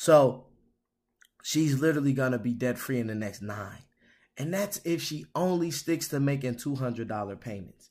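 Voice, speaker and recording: On a very clean recording with a silent background, a man at medium pitch speaks at a moderate pace with an animated tone and lively intonation. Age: 30s. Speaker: financial coach and podcast host. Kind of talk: casual solo podcast talk. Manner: many filler words.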